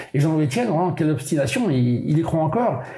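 A man's fairly quick, lively speech amid noticeable background noise and audible room echo. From Brittany, France (Molène island, Finistère). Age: 70s. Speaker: solo sailor. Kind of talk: casual interview. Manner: colloquial, hesitant with repetitions.

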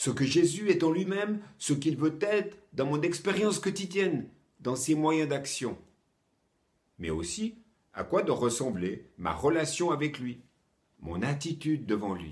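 Speaking fairly slowly with long, frequent pauses, a man uses lively intonation and vocal fry. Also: fairly high pitch for a man. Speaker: preacher. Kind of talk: sermon, short teaching. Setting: home, recorded for online viewers during lockdown. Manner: earnest, warm, encouraging; clear, measured, didactic.

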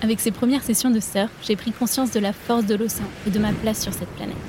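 Against noticeable background noise, a woman speaks fairly quickly in a fairly high, flat, monotone voice. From France, La Rochelle (Atlantic coast). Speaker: podcast host. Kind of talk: scripted narration.

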